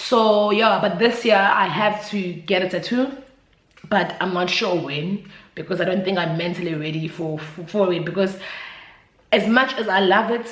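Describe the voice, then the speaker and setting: A voice with a South African accent comes through audible room echo and noticeable background noise. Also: woman, medium pitch for a woman, ordinary pitch variation, moderate pace. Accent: South African, Zulu-speaking. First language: Zulu. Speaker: YouTuber. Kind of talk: casual vlog chat. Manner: hesitant, filler-heavy.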